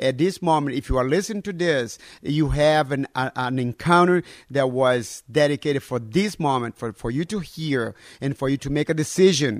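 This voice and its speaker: A man with a Portuguese accent, fairly high-pitched, at a moderate pace with ordinary pitch variation, in a dry, close sound with no echo and a very clean recording over a silent background. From northern Brazil. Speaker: pastor. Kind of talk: sermon; interview.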